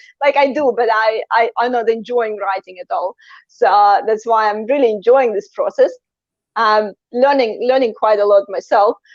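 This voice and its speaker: In a non-native accent, a woman speaks at a moderate pace with lively intonation, in a dry, close sound with no echo. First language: not English. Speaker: live interview host. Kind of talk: live stream interview. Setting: online live stream.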